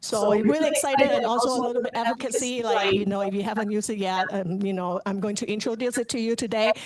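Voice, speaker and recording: A woman's fairly high voice at a very fast pace, fairly even in intonation, with noticeable background noise. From Hong Kong. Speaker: cybersecurity engineer presenter. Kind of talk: presentation. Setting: chapter meeting on camera. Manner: hesitant with filler words.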